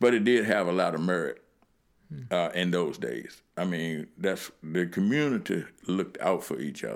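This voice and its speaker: Very deep and low in pitch, a man speaks with vocal fry and lively intonation in an American accent. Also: moderate pace. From Lynchburg, Virginia (US South). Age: 60s. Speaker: community elder recalling civil rights era. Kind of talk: interview storytelling. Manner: halting, many fillers.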